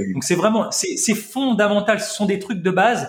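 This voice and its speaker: At a fairly quick pace, a man with high pitch speaks in an animated tone. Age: 40s. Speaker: health practitioner and longevity teacher. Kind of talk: casual chat.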